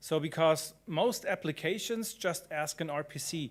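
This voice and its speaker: A man with a strong German accent speaks in a fairly high voice, recorded very cleanly against a silent background. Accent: thick German. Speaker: conference speaker, blockchain developer. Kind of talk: conference talk.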